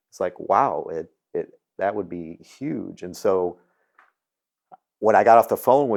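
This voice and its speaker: On a very clean recording with a silent background, the words come at a fairly slow pace. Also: man. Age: 60s. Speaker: dental practice coach, interviewer. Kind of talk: interview. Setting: retreat lodge.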